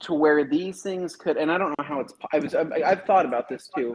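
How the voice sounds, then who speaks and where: His intonation lively, a man speaks at a fairly high pitch. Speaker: detailing podcast host. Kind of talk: casual chat. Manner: loud.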